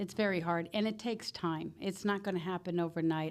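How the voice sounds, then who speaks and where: With fairly even intonation, a plain, everyday voice carries on at a moderate pace. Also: woman. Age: 60s. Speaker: author and army veteran. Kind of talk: interview.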